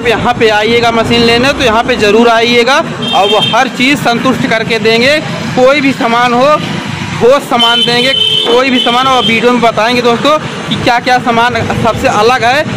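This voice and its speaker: A man speaking fairly slowly over loud background noise. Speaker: vlogger presenting a machine. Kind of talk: casual vlog product demo. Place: street. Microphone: phone near.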